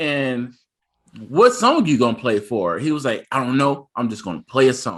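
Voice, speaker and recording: A man talks at a moderate pace with lively intonation, vocal fry and a bright, sharp tone. The recording is very clean, with a silent background. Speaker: podcast co-host. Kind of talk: casual chat. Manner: animated.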